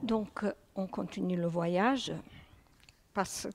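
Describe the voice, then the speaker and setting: Speaking very slowly with a Serbo-Croatian accent, a woman uses a medium pitch, ordinary pitch variation and vocal fry, in a dry, close recording without echo. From former Yugoslavia. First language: Serbo-Croatian (speaking French). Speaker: guest speaker. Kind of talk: reading aloud; lecture.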